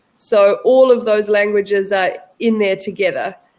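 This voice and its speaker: A woman speaks with a New Zealand accent. Her pitch is fairly high. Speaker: online English tutor. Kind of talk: language lesson conversation.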